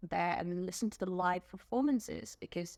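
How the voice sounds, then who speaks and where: Someone with an English accent speaks at a moderate pace in a dry, close sound with no echo, on a very clean recording with a silent background. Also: woman. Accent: English accent picked up as a child. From South Korea, childhood partly in England. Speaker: music fan. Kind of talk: interview. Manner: hesitant, many fillers.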